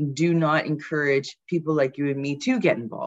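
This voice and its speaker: A woman with a Canadian accent, very deep and low in pitch, at a moderate pace against a quiet background. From Canada (Brampton, Ontario). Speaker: city councillor and politician. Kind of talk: interview.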